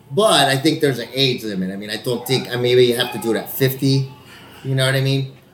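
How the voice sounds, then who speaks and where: Over audible room echo and noticeable background noise, a man with an American accent speaks very fast at a medium pitch with ordinary pitch variation. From Texas, El Paso. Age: 40s. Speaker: actor, podcast co-host. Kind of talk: casual chat.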